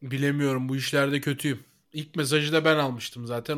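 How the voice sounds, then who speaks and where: An unremarkable speaking voice belongs to a man with a fairly high pitch. He speaks at a moderate pace with ordinary pitch variation in a very clean recording with a silent background. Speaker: podcast co-host. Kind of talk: casual chat.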